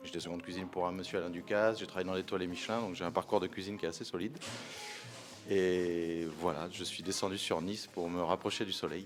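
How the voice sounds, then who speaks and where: Music plays behind a man with a slight southern French accent and a very deep, low pitch. He talks at a very fast pace with fairly even intonation. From France, Corrèze. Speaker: wine shop owner, former chef. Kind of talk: interview.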